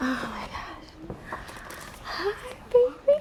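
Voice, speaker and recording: This woman is soft-spoken. Her pitch swings very widely. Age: young. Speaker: recovering drug addict.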